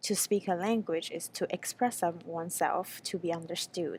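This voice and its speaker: A woman with a Chinese accent speaks fairly slowly at medium pitch, with ordinary pitch variation and a dark, mellow tone. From China. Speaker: graduate student researcher. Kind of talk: conference presentation. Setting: pre-recorded video for a panel. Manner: hesitant, with frequent fillers.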